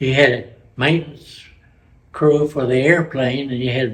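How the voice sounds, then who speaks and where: Speaking at a fairly slow pace, a man sounds somewhat breathy, with fairly even intonation. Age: 80s+. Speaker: war veteran. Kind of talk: interview answer.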